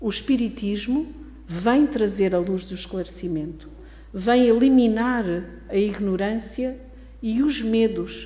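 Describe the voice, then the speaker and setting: A woman with a European Portuguese accent speaks at a very slow pace, pausing long and often, her pitch fairly high with ordinary variation. The recording has audible room echo and noticeable background noise. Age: 70s. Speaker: spiritist lecturer. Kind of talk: lecture.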